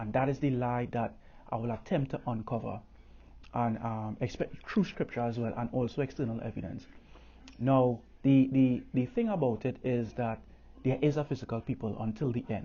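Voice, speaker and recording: Somewhat breathy, a man with a Caribbean accent speaks at a moderate pace in a medium pitch with fairly even intonation. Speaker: religious teacher. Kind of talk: bible teaching. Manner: halting, many fillers.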